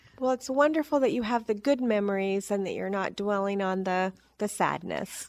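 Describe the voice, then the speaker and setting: This is an unremarkable speaking voice. The pace is moderate, with ordinary pitch variation. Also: woman, medium pitch for a woman. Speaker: podcast host. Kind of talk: interview questions.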